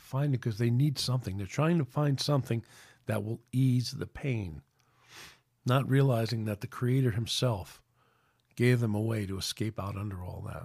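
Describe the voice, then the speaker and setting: In a New York accent, a man speaks at a moderate pace with a somewhat breathy, medium-pitched voice and ordinary pitch variation, on a very clean recording with a silent background. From New York City. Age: 60s. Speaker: podcast host. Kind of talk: casual chat. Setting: at home.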